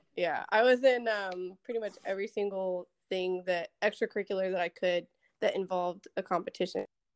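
Speaking with an American accent in an unremarkable speaking voice, a woman talks at medium pitch and a fairly quick pace with fairly even intonation. The sound is dry and close with no echo, over a quiet background. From Texas, Dallas area. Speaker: Air Force security forces member. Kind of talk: casual chat.

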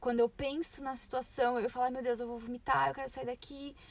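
A woman speaks with a high pitch. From Brazil, São Paulo. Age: 20s. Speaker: podcast co-host, au pair. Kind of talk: casual chat. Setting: in a parked car.

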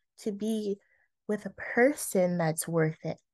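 A woman's voice comes through dry and close with no echo over a quiet background. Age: 20s. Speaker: podcast host. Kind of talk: casual solo monologue. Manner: conversational, with laughs and filler words.

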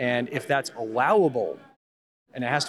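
A man with an ordinary speaking voice talks at a fairly quick pace. His pitch sits in the medium range with ordinary variation. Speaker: science supply company owner and adjunct professor. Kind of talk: casual interview chat. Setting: conference booth.

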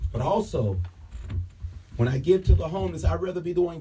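An animated man at a fairly quick pace, with very wide pitch swings over background music. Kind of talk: sermon. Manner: animated, call-and-response preaching with exhortations; repetitive, emphatic, rhythmic delivery.

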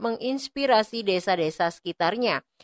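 A woman with a normal speaking voice and a fairly high pitch talks at a moderate pace, recorded dry and close with no echo against a quiet background. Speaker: radio reporter. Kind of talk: news report.

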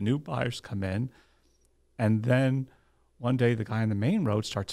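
A man with a New Jersey accent, medium in pitch, at a moderate pace with fairly even intonation, in a very clean recording with a silent background. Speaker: lawyer and title agency owner. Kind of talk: interview.

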